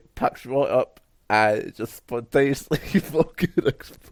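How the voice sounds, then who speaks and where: At a fairly slow pace, a man speaks at medium pitch in a dry, close sound with no echo, on a very clean recording with a silent background. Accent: Scottish. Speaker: wrestling podcast co-host. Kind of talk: casual chat. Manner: animated.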